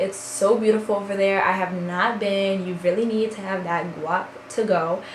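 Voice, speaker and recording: Amid noticeable background noise and audible room echo, a woman speaks at a moderate pace and a medium pitch. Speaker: beauty and lifestyle vlogger. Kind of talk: casual vlog chat. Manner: loud; animated.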